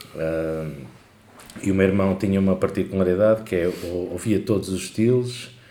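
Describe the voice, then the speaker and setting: Set against audible room echo, a man talks in a fairly low voice. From Portugal, Lisbon area. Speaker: podcast co-host. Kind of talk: casual chat.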